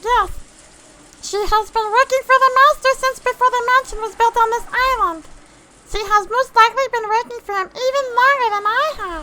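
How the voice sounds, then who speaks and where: In a squeaky, put-on character voice of extremely high pitch, the speaker moves at a moderate pace. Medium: read story. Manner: formal, restrained.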